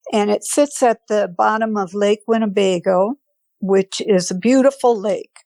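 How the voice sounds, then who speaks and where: A woman with an American accent and medium pitch speaks at a fairly slow pace with ordinary pitch variation, the sound dry and close with no echo. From Wisconsin, Fond du Lac. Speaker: podcast guest sharing paranormal experience. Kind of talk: personal testimony.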